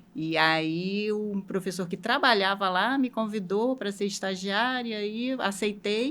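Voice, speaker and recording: A woman with a Rio de Janeiro accent talks at a very slow pace, with hardly any pauses. Her pitch is medium and varies in an ordinary way. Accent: carioca. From Rio de Janeiro, Brazil. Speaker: logistics manager. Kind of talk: interview.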